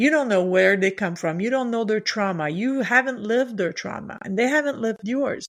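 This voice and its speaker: A woman with a French accent talks at a fairly quick pace with hardly any pauses, her fairly high pitch moving in lively intonation. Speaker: leadership coach. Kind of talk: podcast interview.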